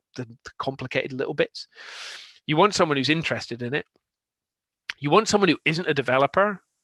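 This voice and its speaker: Speaking at a very fast pace with long, frequent pauses, a man with a Scottish accent has a fairly high pitch and a bright, sharp tone in a dry, close sound with no echo. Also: lively intonation. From Scotland, Aberdeen. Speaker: software consultant. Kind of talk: conference talk. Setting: online meetup.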